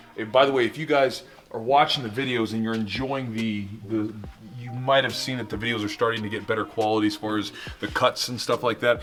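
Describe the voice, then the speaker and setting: A man with a medium pitch speaks at a very fast pace while music plays in the background. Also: fairly even intonation. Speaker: jiu-jitsu gym owner and instructor. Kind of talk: casual talk to camera, gym tour. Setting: large indoor gym, camera mic.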